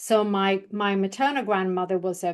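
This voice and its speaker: In a British accent, a woman at medium pitch talks at a fairly slow pace against a quiet background. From Sweden. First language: Swedish. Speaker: public speaking coach. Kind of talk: interview testimony.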